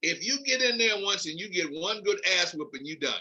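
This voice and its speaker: Raised and projected, a man's bright, sharp voice sits at a high pitch in an American accent. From US Northeast (Philadelphia). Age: 70s. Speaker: veteran MMA event coordinator. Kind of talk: podcast interview.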